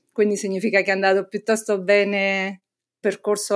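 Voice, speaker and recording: In a very clean recording with a silent background, a woman talks at a medium pitch with monotone, flat intonation. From Naples, Italy. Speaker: hydrogeologist and professor. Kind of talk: interview.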